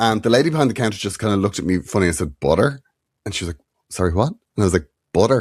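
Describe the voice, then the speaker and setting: In a very clean recording with a silent background, a man with an Irish accent talks at a fairly low pitch with very wide pitch swings. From Ireland. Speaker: comedian and podcast co-host. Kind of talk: casual chat. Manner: clear diction.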